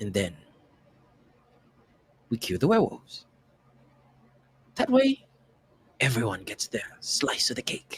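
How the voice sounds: In a put-on character voice with a British accent, a man speaks slowly at medium pitch with very wide pitch swings, long, frequent pauses, a slightly husky edge and a dry, close sound with no echo.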